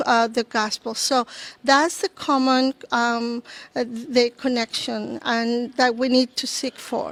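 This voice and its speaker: A woman with a high pitch speaks at a very slow pace in a monotone, flat intonation, the sound dry and close with no echo. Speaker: church ministry leader and teacher. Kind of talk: podcast interview. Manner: halting, many fillers.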